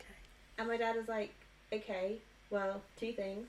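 A woman talks at a medium pitch with monotone, flat intonation. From Devon, England. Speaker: pharmaceutical training lead. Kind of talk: casual interview chat.

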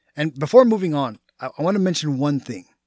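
Recorded very cleanly against a silent background, a man with a Texan accent speaks fairly quickly in a fairly high pitch, the sound dry and close with no echo. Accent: Texan American English. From Texas. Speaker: podcast host and personal trainer. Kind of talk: solo podcast monologue. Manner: casual, conversational.

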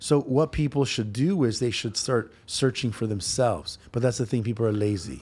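Somewhat breathy, a man speaks at a moderate pace with hardly any pauses, medium pitch and ordinary pitch variation, recorded very cleanly against a silent background. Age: 40s. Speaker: fitness trainer and former bodybuilder. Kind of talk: casual chat. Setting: office studio.

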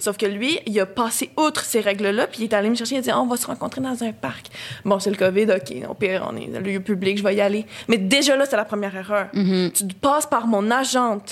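A medium-pitched woman with a Quebec accent, talking fairly quickly with ordinary pitch variation over noticeable background noise. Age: 20s. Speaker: film student. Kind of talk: casual chat.

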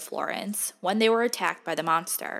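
A woman's medium-pitched voice at a moderate pace, on a very clean recording with a silent background. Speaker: true crime podcaster. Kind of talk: true-crime narration, scripted storytelling. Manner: measured, dramatic, serious storyteller pacing; casual, chatty, a bit irreverent.

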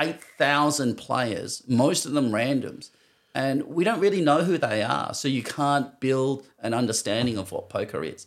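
In a very clean recording with a silent background, a man with an Australian accent talks at a moderate pace. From Western Australia. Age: 50s. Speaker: professional poker player. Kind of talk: casual interview chat.

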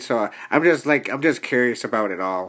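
Male speaker, very wide pitch swings, moderate pace, music in the background. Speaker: podcast host. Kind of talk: casual interview. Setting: studio.

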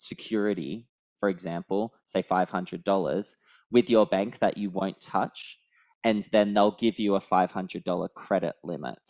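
Talking at a fairly slow pace, a man with an Australian accent has a fairly low pitch and fairly even intonation. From Australia, Sydney. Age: 30s. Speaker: travel points writer. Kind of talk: casual chat. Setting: video call.

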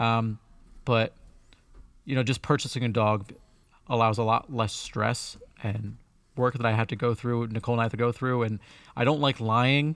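A man speaks with fairly even intonation. He leaves long, frequent pauses. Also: medium pitch for a man, moderate pace. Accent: American. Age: 20s. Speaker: tech podcast co-host. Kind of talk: casual chat. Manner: halting.

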